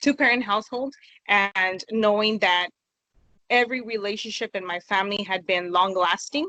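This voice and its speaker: A bright, sharp tone with an American accent and ordinary pitch variation comes through dry and close, with no echo. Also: woman. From California. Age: 20s. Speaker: interview guest. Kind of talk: interview.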